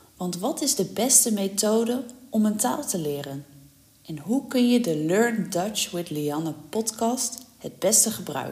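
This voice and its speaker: This woman talks at a fairly high pitch, her voice making very wide pitch swings. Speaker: language teacher. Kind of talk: tutorial. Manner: slow; clear.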